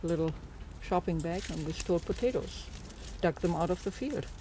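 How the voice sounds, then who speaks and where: A woman with a German accent speaks in a fairly low, dark, mellow voice that is somewhat breathy, with ordinary pitch variation. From Germany. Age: 80s+. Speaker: farmhand. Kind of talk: interview storytelling.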